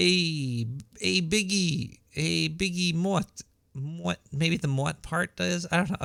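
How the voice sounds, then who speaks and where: A man with a Brooklyn accent speaks in a shrill, bright, sharp tone at a high pitch, with lively intonation. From New York, Brooklyn. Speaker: radio show host. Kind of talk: casual talk radio monologue. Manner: halting, repeats words.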